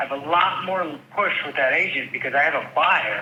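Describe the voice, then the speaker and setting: A man with an American accent speaks at a moderate pace. Noticeable background noise can be heard. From upstate New York (Rochester). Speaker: real estate agent. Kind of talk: phone call conversation. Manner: animated.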